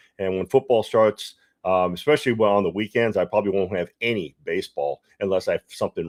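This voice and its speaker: Heard on a very clean recording with a silent background, a man speaks with a fairly low pitch. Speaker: sports betting livestream host. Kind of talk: casual livestream talk. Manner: fast; halting, many fillers and repeats.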